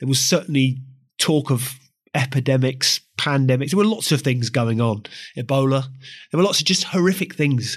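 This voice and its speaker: At a moderate pace, a man with a medium, somewhat breathy voice speaks at very even loudness with ordinary pitch variation. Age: 40s. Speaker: podcast host. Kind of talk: interview.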